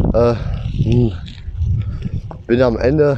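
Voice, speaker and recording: Noticeable background noise behind a man's voice at medium pitch. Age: 20s. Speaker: podcaster and textile machine operator. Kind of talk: casual monologue. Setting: outdoors, riding a bicycle. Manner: animated.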